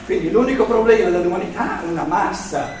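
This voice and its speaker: Noticeable background noise and audible room echo around a man speaking high for his sex. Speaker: lecturer on philosophy. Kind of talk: lecture. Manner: loud; halting.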